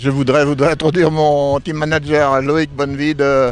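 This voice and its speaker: A man speaks at a very slow pace and a fairly high pitch, with fairly even intonation and music in the background. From France, Sancerre area. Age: 70s. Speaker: rally driver. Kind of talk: interview. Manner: halting.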